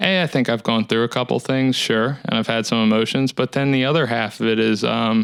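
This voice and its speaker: At a fairly quick pace and with hardly any pauses, a man talks at a medium pitch, his loudness very even and his intonation fairly even. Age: 30s. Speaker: musician vlogger. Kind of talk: casual monologue vlog. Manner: monotone; halting.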